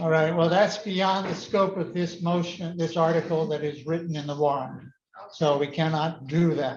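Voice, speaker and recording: A man talks with a high pitch and fairly even intonation. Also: moderate pace. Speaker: town meeting moderator. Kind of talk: chairing public meeting. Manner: loud.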